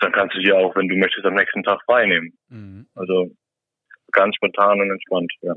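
A man talking at a moderate pace. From Saarland, Germany. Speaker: salmon farm worker and angler. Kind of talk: casual chat. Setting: remote call from a cabin.

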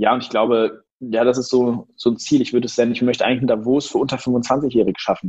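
A man speaks very fast at a medium pitch. His intonation is flat and monotone. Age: 20s. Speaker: entrepreneur. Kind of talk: interview.

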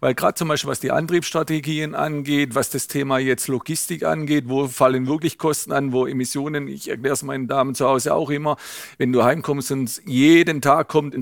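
A man speaks at a fairly quick pace with hardly any pauses. His pitch is fairly high and his intonation is monotone and flat. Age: 60s. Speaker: automotive executive. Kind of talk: interview.

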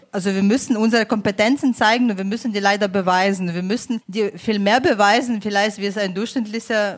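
Over noticeable background noise, a woman at medium pitch talks at a fairly quick pace with ordinary pitch variation. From Ukraine. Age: 30s. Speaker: migration advisory board member, politician. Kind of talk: panel discussion.

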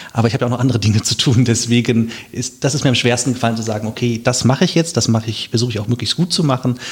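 Fairly even intonation from a man at a medium pitch, racing at a very fast pace. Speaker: local election candidate. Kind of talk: casual interview.

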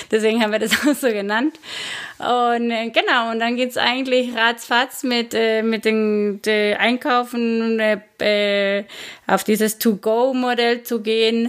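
A woman with a Spanish accent speaks very slowly in a fairly high voice. Her intonation is monotone and flat. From Guatemala. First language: Spanish (speaking German). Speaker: bar owner. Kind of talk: interview. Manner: halting, frequent fillers.

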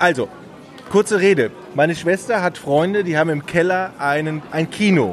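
With music playing behind him, a man speaks at a moderate pace in a high voice with ordinary pitch variation. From Ratingen near Düsseldorf, Germany. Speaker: podcast host. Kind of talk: casual chat. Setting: recorded at a press event.

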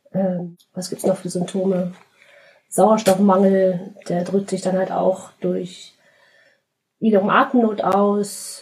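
Very slowly and with long, frequent pauses, a woman speaks in a somewhat breathy, monotone, flat voice. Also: medium pitch for a woman. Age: 30s. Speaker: podcast guest with cystic fibrosis. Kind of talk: interview.

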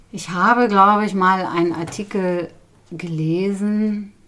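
Very slow speech comes from a woman whose pitch is fairly low. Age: 50s. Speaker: bean seed conservationist. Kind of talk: interview. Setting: at the guest's home.

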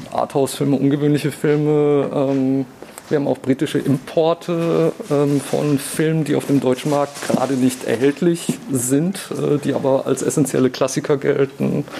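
This man has a fairly high pitch and a moderate pace, with monotone, flat intonation. His loudness is very even, and there is noticeable background noise. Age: 30s. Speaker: museum shop employee and TV editor. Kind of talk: casual interview. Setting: on location in a shop. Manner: many filler sounds.

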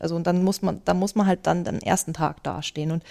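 In a very clean recording with a silent background and a dry, close sound with no echo, a woman speaks in a fairly low, dark, mellow tone. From Bavaria, Germany (Starnberg area). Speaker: choir conductor. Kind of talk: interview. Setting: on location at a choir festival.

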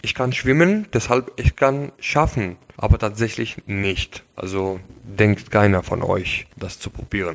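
A man with an Arabic accent, fairly low-pitched, with ordinary pitch variation and a very slow pace. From Syria. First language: Arabic (speaking German). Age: 20s. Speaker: engineering student, refugee. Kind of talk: casual interview. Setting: at the host's home.

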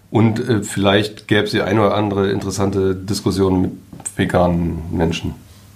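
Audible room echo surrounds a man's fairly low voice. He speaks at a fairly quick pace in a monotone, flat intonation. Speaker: newspaper journalist and podcast co-host. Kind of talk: casual chat.

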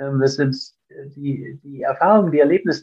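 Ordinary pitch variation runs through a man's fairly quick speech. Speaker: endurance athlete and entrepreneur. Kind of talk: interview. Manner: halting, with fillers and repetitions.

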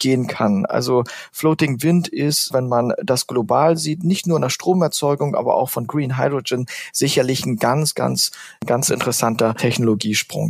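A man talks at a moderate pace and medium pitch. His is a plain, everyday voice. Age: 30s. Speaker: renewable energy executive. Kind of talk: interview.

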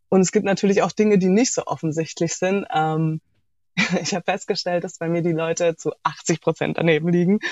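Here is a woman with an unremarkable speaking voice, fairly low in pitch. Her intonation is fairly even and her pace moderate. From Germany, Heilbronn (Baden-Württemberg). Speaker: interview guest. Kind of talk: casual interview.

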